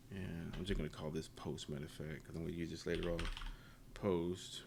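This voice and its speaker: Audible room echo surrounds a man speaking fairly quickly, his very deep, low voice in monotone, flat intonation. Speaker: programming tutorial youtuber. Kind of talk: tutorial. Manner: casual, halting.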